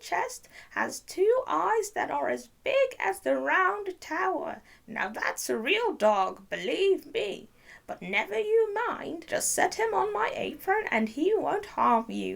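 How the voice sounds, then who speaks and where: Using a put-on character voice, a woman speaks at an extremely high pitch. Her pace is fairly slow. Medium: read story. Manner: wheedling.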